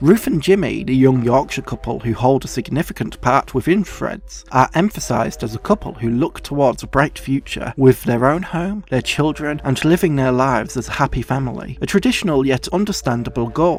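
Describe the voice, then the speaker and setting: A man talks with lively intonation. There is noticeable background noise. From Yorkshire, England. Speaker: film video essayist. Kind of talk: film video essay narration.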